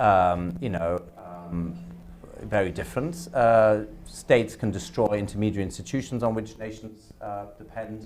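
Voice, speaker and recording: A man with a German accent speaks amid audible room echo. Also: fairly low pitch for a man, ordinary pitch variation, moderate pace. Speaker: academic panelist. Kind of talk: panel discussion. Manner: halting, many repetitions and fillers.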